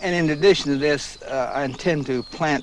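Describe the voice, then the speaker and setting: A man speaks at a moderate pace with ordinary pitch variation, noticeable background noise around him. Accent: American. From United States. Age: 60s. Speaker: farmer. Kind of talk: interview. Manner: halting, with many fillers.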